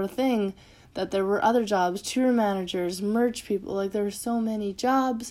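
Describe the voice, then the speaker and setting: A woman speaks with a Canadian accent in an ordinary speaking voice. Her medium pitch holds fairly even intonation at a moderate pace. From rural Manitoba, Canada. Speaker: podcast host and music photographer. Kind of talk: personal monologue. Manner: casual, many fillers.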